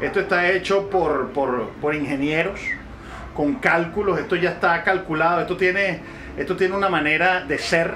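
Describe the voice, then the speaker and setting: The speaker keeps a moderate pace and a very even loudness, with fairly even intonation and long, frequent pauses. Light background noise sits behind the voice. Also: man, high pitch for a man. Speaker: travel vlogger. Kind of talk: casual vlog chat. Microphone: phone near.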